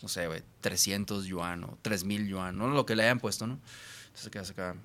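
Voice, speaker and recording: On a very clean recording with a silent background, a man's voice has a bright, sharp tone. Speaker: musician.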